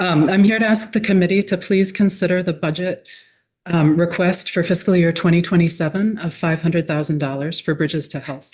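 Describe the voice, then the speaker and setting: Fairly quick speech comes out somewhat breathy with fairly even intonation. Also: woman, fairly low pitch for a woman. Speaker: nonprofit executive director. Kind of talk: testimony. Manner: quiet, soft-spoken; formal.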